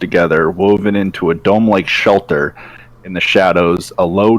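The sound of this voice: An unforced reading voice carries the clip.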